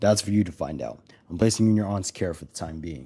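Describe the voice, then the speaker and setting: A man's put-on character voice, raspy and very deep, at a very fast pace with ordinary pitch variation and big swings in loudness. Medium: read story. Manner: calm, measured.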